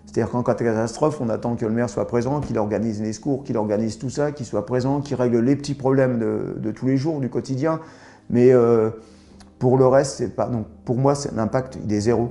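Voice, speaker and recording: Fairly even in intonation and medium in pitch, this man has a plain, everyday voice. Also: fairly quick pace. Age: 60s. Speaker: local anti-nuclear activist. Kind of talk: interview.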